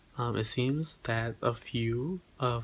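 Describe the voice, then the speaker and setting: The recording is very clean, with a silent background. A man speaks at a medium pitch in a somewhat breathy voice. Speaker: tech news correspondent. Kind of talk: news report. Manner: halting.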